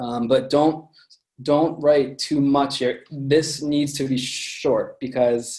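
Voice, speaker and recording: A man's fairly high, dark and mellow voice with an American accent, very slow pace, and fairly even intonation. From US, Pennsylvania. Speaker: music journalist and producer. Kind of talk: presentation.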